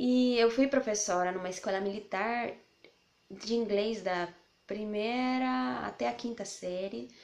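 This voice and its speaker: With a Spanish accent, a woman at medium pitch speaks fairly slowly with lively intonation. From Colombia, Bogotá. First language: Spanish (speaking Portuguese). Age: 20s. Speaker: language teacher and mother vlogger. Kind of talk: casual vlog introduction.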